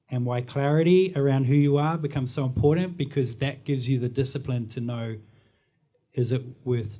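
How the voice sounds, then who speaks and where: A man with a New Zealand accent speaks at a fairly quick pace in a medium pitch, his dark, mellow tone somewhat breathy and his pitch varying in an ordinary way. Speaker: marketing and branding professional. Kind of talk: panel discussion.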